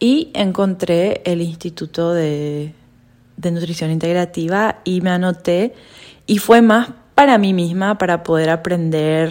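Fairly low in pitch, a woman talks at a fairly slow pace in an ordinary speaking voice with ordinary pitch variation. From Paraguay. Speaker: podcast co-host, health coach. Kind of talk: casual chat.

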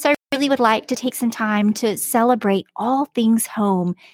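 In a very clean recording with a silent background, a woman with a normal speaking voice talks at a moderate pace, her fairly high pitch carrying lively intonation. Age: 40s. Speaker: podcast host, homemaker and homeschooling mother. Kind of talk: solo podcast monologue. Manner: conversational with frequent filler words.

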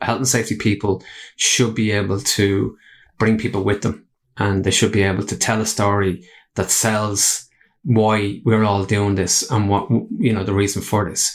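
A fairly low-pitched man with an Irish accent, at a moderate pace with fairly even intonation, in a very clean recording with a silent background. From Ireland. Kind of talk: casual interview chat. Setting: studio.

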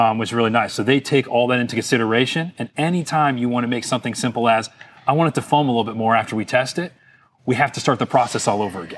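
Speaking very fast, a man with an American accent and a medium pitch uses ordinary pitch variation. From Florida (Fort Lauderdale). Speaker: business owner of boat cleaning products. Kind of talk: interview.

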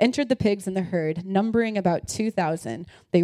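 Ordinary pitch variation in a plain read-aloud delivery

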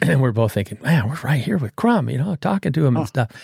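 A man talks at a very fast pace with an American accent. His voice is somewhat breathy, with lively intonation. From Southern California. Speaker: muralist and sign painter. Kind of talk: casual interview chat.

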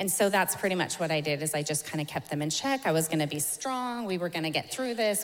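A woman's fairly low voice, an unremarkable speaking voice, at a fairly quick pace. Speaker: church member sharing testimony. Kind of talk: testimony. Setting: stage with audience.

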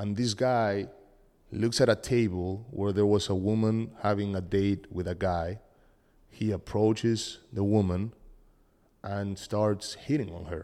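Speaking in a Spanish accent with a dark, mellow tone, the voice moves at a fairly slow pace with fairly even intonation in a very clean recording with a silent background. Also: man, fairly low pitch for a man. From Argentina. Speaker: podcast co-host. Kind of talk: casual chat.

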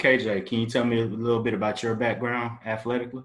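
An unremarkable speaking voice from a man, medium in pitch and fairly quick in pace. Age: 30s. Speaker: podcast host. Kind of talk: podcast interview.

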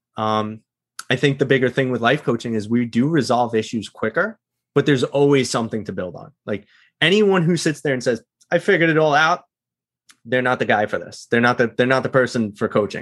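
An unremarkable speaking voice moves at a fairly quick pace with lively intonation over a quiet background. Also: man, medium pitch for a man. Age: 30s. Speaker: life coach. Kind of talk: podcast interview.

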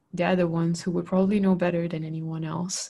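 Against a quiet background, a woman speaks in a fairly low, somewhat breathy voice with monotone, flat intonation. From Malaysia. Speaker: podcast co-host. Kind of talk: casual chat.

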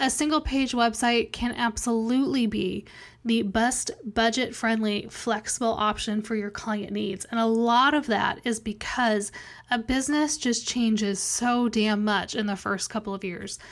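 A woman's normal speaking voice, fairly high in pitch, at a fairly slow pace with fairly even intonation. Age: 30s. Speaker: podcast host and web developer. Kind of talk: casual solo podcast talk.

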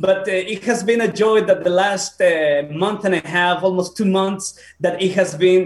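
Amid noticeable background noise, a man with a Spanish accent speaks at a high pitch in a fairly slow, monotone, flat way. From Peru. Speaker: pastor. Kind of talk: casual interview. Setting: video call. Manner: halting.

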